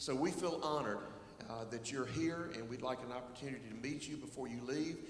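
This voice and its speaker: A man talks at a very fast pace with ordinary pitch variation. Light background noise and audible room echo are present. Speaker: worship pastor. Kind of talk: church welcome and announcements. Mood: warm, welcoming. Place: church. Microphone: handheld.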